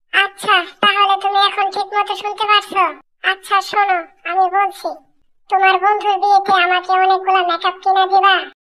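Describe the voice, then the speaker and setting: Squeaky and extremely high, a woman's cartoonish character voice speaks at a moderate pace in a flat monotone. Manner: insistent, exasperated.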